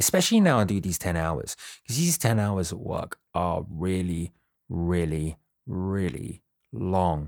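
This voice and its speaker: With a British accent, a man talks at a fairly slow pace in a very deep, low pitch with ordinary pitch variation, recorded very cleanly against a silent background with a dry, close sound and no echo. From Britain. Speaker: podcast co-host. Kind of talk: casual chat. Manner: animated.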